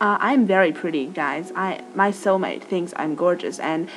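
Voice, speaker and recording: Music plays in the background as a woman talks. She has an American accent and a moderate pace. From Australia. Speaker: vlogger. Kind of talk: casual chat. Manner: informal, chatty.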